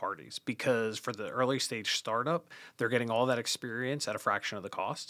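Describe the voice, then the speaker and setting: A man with an American accent speaks fairly quickly at a medium pitch, his tone bright and sharp. The sound is dry and close with no echo, on a very clean recording with a silent background. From New Jersey, near New York. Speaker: finance executive. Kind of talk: interview. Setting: studio.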